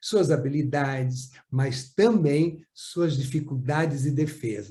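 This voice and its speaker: Very slow and somewhat breathy, a man speaks at a fairly high pitch with a dark, mellow tone and ordinary pitch variation. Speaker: psychomotor therapy trainer. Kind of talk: lecture. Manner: clear and easy to follow.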